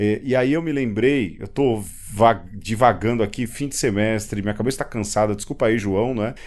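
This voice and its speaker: This man's pitch moves with ordinary variation. He keeps to a moderate pace. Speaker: podcast host. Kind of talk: casual chat. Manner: halting.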